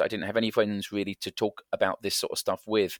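In a very clean recording with a silent background and a dry, close sound with no echo, a man speaks at a very fast pace. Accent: English. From England. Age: 50s. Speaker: variety performer. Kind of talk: interview conversation.

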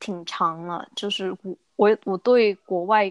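A woman in a normal speaking voice, at a fairly slow pace and medium pitch, on a very clean recording with a silent background and a dry, close sound with no echo. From Guangzhou, southern China. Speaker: young professional living abroad. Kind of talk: casual chat.

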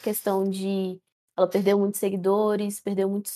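Her voice is medium in pitch with a dark, mellow tone. This woman speaks in a monotone, flat way. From Central-West Brazil. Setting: online voice call.

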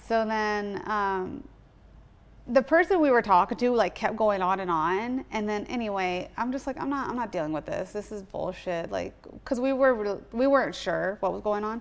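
With an American accent, a woman has a plain, everyday voice, fairly high in pitch, lively in intonation and moderate in pace. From US West Coast (Southern California). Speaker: comedian and online creator. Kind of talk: casual chat.

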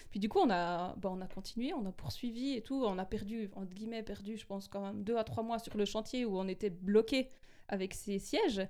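A woman's voice has a dark, mellow tone. She talks at a fairly quick pace. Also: medium pitch for a woman, ordinary pitch variation. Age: 30s. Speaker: radio journalist. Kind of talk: testimony. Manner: animated.

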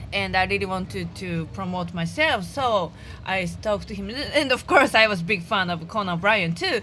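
With a Japanese accent and a medium pitch, a woman speaks with lively intonation and big swings in loudness while music plays in the background. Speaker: stand-up comedian. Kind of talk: casual interview. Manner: laughs often.

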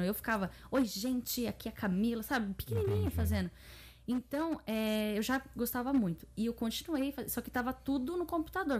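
Her intonation is lively, and the woman's voice comes across as somewhat breathy. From Japan (Brazilian-born, raised in Japan from age 3). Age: 30s. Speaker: YouTuber. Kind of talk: casual chat.

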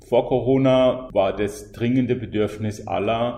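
A man talks at a fairly slow pace amid noticeable background noise and audible room echo. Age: 50s. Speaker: freelance mobility consultant, climate coach. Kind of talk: interview. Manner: halting, with fillers.

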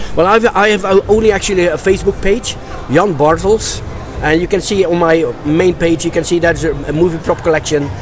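With a Dutch accent, a man talks at a fairly quick pace and a high pitch, with ordinary pitch variation and very even loudness. Noticeable background noise is present. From Netherlands. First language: Dutch (speaking German). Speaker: movie prop collector. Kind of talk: interview. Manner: halting.

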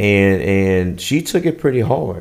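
This man's voice sits fairly low, with ordinary pitch variation. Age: 40s. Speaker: father of the host. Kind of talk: casual chat. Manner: halting.

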